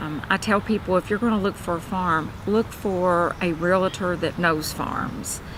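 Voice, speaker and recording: A woman with a Kentucky accent, medium-pitched, at a fairly slow pace with fairly even intonation and hardly any pauses. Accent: Kentucky Southern US. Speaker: realtor. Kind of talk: self-introduction promo. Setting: cafe. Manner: casual with many fillers.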